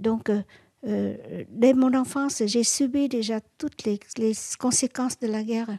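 Very slow and somewhat breathy, a woman's fairly high voice carries a dark, mellow tone and ordinary pitch variation. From Vietnam. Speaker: activist and former war reporter. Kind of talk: interview. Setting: at home. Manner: halting.

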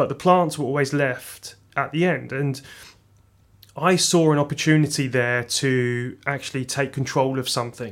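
In a very clean recording with a silent background, a man speaks at a moderate pace with fairly even intonation. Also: fairly high pitch for a man. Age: 30s. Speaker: head of horticulture at a plant nursery. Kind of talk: interview. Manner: hesitant, with fillers.

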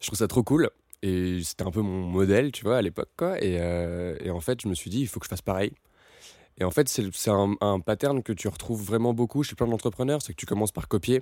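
A man speaks at a fairly low pitch and a fairly quick pace, his tone dark and mellow with ordinary pitch variation. The recording is very clean with a silent background, and the sound is dry and close with no echo. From France, Paris. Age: 20s. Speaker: entrepreneur. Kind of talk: interview. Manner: casual, halting with repetitions.

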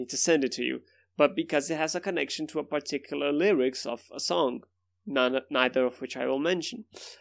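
A man with a Brazilian accent, fairly high pitch, ordinary pitch variation and vocal fry, talking at a fairly quick pace against a quiet background. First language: Portuguese. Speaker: podcast host. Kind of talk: casual chat. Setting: video call.

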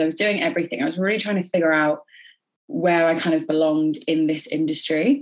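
A woman speaks at a fairly quick pace and a fairly low pitch, with ordinary pitch variation. It is an ordinary speaking voice. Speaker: beauty therapist and educator. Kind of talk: casual interview.

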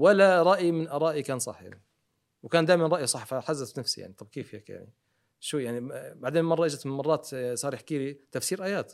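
The man speaks very fast, in a fairly high pitch. His pitch variation is ordinary. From Jordan and Riyadh, Saudi Arabia. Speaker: dentist and TV presenter. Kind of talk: interview. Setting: studio. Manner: calm.

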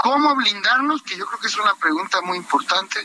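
Against noticeable background noise, a man uses a raised, projected voice with lively intonation. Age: 30s. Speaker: party leader, politician. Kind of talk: radio interview.

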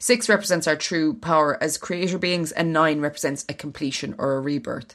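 A woman with an ordinary speaking voice talks at a fairly quick pace, her fairly low pitch carried by lively intonation. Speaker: podcast co-host. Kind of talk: casual chat.

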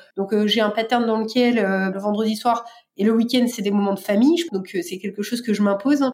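Against noticeable background noise, a woman talks at a moderate pace in a fairly high pitch with ordinary pitch variation. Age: 30s. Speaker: bank innovation executive. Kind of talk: testimony. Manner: hesitant with fillers.

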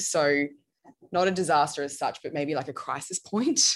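A woman with an Australian accent speaks at a moderate pace in a very deep, low pitch, with ordinary pitch variation against a quiet background. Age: 20s. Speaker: bridal gown designer. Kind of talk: interview. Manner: casual.

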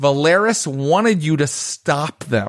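A man with an ordinary speaking voice talks at a fairly high pitch with lively intonation, on a very clean recording with a silent background. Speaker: game master. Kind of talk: tabletop roleplaying game session.

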